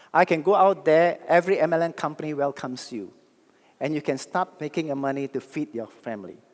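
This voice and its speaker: A man speaks in an animated tone at a fairly quick pace. His pitch is fairly high, with ordinary pitch variation. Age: 60s. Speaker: network marketing speaker. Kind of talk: motivational talk. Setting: stage with audience.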